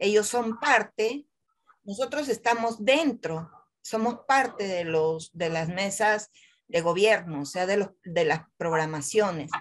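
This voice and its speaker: Against a quiet background, a woman with a medium pitch talks at a very slow pace with lively intonation. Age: 60s. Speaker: wheelchair user and church laywoman. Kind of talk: personal testimony in Q&A. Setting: video call. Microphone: video call.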